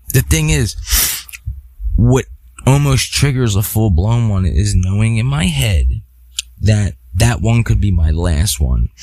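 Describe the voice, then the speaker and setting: Against noticeable background noise, a man with a fairly low pitch speaks at a fairly slow pace, swinging his pitch very widely and pausing long and often. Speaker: podcast host. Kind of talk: solo podcast monologue. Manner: halting.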